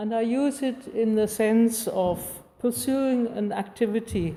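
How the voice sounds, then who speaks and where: Very slowly, a woman with a non-native accent speaks in a dark, mellow tone, with ordinary pitch variation. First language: not English. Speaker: artist giving a talk. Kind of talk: public lecture, largely read aloud. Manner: reading from script.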